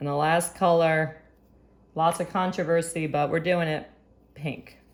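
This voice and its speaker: Here a woman speaks at a fairly slow pace. Her pitch is fairly low. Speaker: art teacher. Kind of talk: tutorial. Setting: recorded video lesson. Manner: animated.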